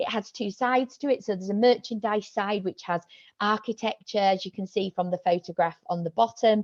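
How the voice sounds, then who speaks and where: A woman with a Yorkshire accent speaks fairly quickly at a medium pitch with ordinary pitch variation. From Yorkshire, northern England. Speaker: senior lecturer and researcher. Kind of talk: academic seminar talk. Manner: hesitant, many fillers.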